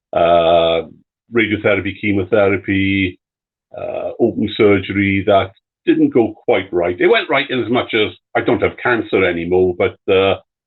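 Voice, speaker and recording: A man with a British accent at a moderate pace. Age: 60s. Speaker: cancer survivor and retiree. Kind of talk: live stream interview. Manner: halting, many fillers.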